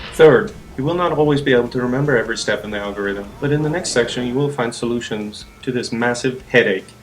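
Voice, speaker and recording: Music plays in the background as a man talks very fast. His voice is medium in pitch with ordinary variation. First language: not English. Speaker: gamer, guide maker. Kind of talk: game tutorial voiceover.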